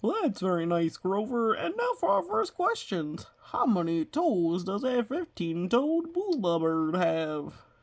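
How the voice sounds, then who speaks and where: The speaker uses a put-on character voice at a middle pitch. The delivery is fairly slow with hardly any pauses. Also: female-sounding voice. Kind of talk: game show host patter. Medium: read story. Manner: loud, exuberant.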